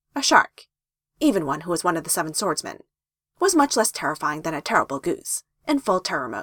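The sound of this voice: Against a quiet background, the speaker uses an unforced reading voice.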